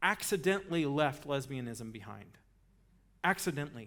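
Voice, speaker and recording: Amid audible room echo, a man with an American accent speaks at a moderate pace with lively intonation. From Texas. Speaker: guest speaker, ministry leader. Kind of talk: talk to a church audience. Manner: conversational, animated storytelling.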